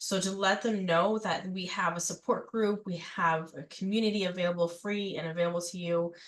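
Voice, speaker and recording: Speaking at a fairly quick pace with hardly any pauses, a woman uses a medium pitch and fairly even intonation over noticeable background noise. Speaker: mental health nonprofit volunteer coordinator. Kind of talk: presentation. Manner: halting, many fillers.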